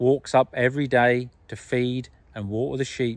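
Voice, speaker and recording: Very slow pace with a dry sound and no echo. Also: man. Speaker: farmer vlogger. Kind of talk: casual vlog chat. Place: open country. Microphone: phone near.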